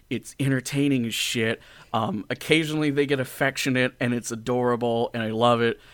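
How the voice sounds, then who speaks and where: At a moderate pace, a man speaks in a plain, everyday voice of medium pitch with fairly even intonation. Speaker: podcast host and audio drama creator. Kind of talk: casual interview chat.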